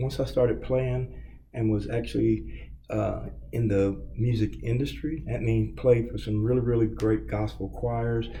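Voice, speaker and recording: A Kentucky accent at a fairly slow pace, with audible room echo. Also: man. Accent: US South, Kentucky. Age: 60s. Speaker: record store owner. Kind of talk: interview. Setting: empty hallway.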